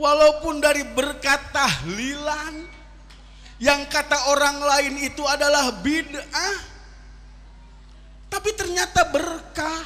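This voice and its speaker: A man with a West Javanese accent speaks in a raised, projected voice at an extremely high pitch, with ordinary pitch variation. His tone is animated, broken by long, frequent pauses. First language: Sundanese (speaking Indonesian). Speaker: Islamic preacher. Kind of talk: sermon. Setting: religious gathering with audience.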